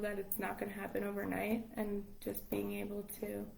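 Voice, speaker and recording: A woman speaks at a moderate pace. Room echo is audible, and background noise is noticeable. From Long Island, New York. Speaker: English teacher abroad. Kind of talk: casual interview chat. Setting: live stream.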